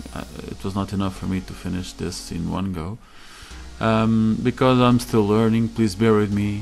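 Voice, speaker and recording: A man talks with a non-native accent in a fairly low pitch. Music plays in the background. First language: not English. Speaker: Blender learner. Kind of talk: screen-recorded tutorial narration. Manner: hesitant, many fillers.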